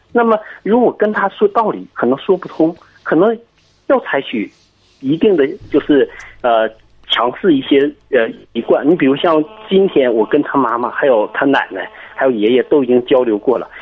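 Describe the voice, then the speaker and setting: The speaker moves at a moderate pace with very wide pitch swings and long, frequent pauses. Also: man, fairly high pitch for a man. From Jiangsu, Kunshan. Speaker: caller, father of a toddler. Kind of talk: phone-in advice call. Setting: phone call. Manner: halting, many fillers.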